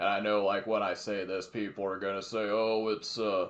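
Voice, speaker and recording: In an ordinary speaking voice, a man talks at a moderate pace with a fairly low pitch. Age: 20s. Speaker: podcast co-host. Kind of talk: casual chat.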